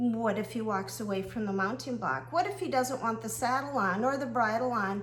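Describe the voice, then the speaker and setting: Her lively intonation carries through audible room echo. This woman's recording also has noticeable background noise. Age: 60s. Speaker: horse riding coach. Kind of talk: casual monologue video.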